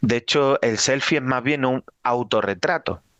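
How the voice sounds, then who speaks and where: A man speaks with a slight Extremaduran accent at a fairly slow pace. The sound is dry and close, with no echo. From Extremadura, Spain (Badajoz). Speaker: Jesuit priest, lecturer. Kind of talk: lecture.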